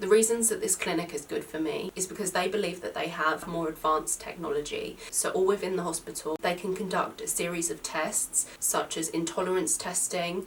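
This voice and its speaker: A woman with a British accent, fairly quick and fairly even in intonation, over noticeable background noise. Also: medium pitch for a woman, hardly any pauses. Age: 20s. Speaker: YouTuber with a chronic skin condition. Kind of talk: vlog talking to camera.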